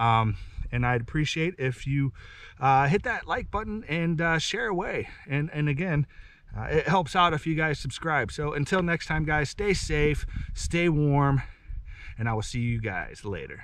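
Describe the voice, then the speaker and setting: The man's intonation is lively, at a fairly slow pace. The sound is dry, with no echo. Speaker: homesteader vlogger. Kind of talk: casual vlog outro. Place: forest. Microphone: camera far.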